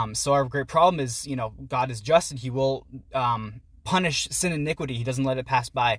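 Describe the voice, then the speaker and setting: The voice is somewhat breathy, with ordinary pitch variation and a fairly quick pace. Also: man, medium pitch for a man. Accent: American. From Pittsburgh area, US. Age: 20s. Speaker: university student and writer. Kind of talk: casual chat. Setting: outdoors.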